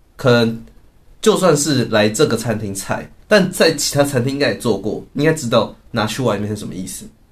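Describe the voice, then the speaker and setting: Fairly quick, somewhat breathy delivery with big swings in loudness and lively intonation. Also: man. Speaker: podcast co-host. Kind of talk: casual chat. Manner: frequent laughter.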